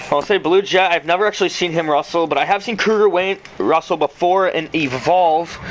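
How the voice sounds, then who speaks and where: A man talks at a fairly quick pace with a high pitch and hardly any pauses. His intonation stays fairly even over noticeable background noise. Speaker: amateur wrestling game league commentator. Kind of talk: casual play-by-play commentary. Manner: halting.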